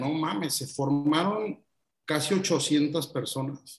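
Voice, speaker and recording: Speaking with a Mexican accent, a man has a fairly high pitch and ordinary pitch variation. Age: 30s. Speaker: radio host and content creator. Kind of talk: casual interview chat.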